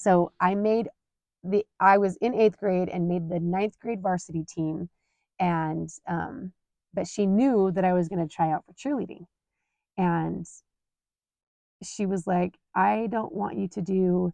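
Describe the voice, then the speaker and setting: Long, frequent pauses from a woman with a Utah accent, medium in pitch, with ordinary pitch variation. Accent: Utah American English. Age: 40s. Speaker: podcast host. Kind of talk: personal storytelling monologue. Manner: casual, conversational with fillers.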